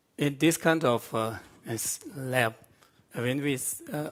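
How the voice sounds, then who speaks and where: Speaking in a Tibetan accent, a man talks at a very slow pace with a medium pitch and ordinary pitch variation. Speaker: Buddhist monk scholar. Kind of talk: panel discussion. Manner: halting.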